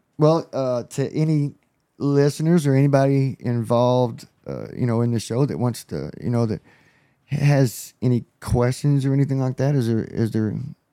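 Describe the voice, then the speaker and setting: Fairly even intonation from a man at a medium pitch, dark and mellow in tone, at a moderate pace on a very clean recording with a silent background. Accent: Texan. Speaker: former drug dealer turned trucking business owner. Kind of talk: casual chat.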